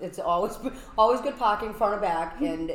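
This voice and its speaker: A woman with a Boston accent is heard with audible room echo and noticeable background noise. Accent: Boston-area New England. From Massachusetts, Brockton. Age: 40s. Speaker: event space owner. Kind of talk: casual interview.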